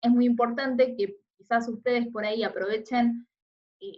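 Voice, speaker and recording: Here a woman talks in an unremarkable speaking voice. Her pitch is fairly high and her pace moderate. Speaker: teacher. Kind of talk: recorded lecture.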